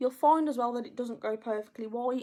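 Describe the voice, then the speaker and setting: A woman's fairly high voice, dark and mellow in tone, with an English accent. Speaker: makeup artist. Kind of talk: tutorial. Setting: live video stream. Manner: a little quiet while concentrating.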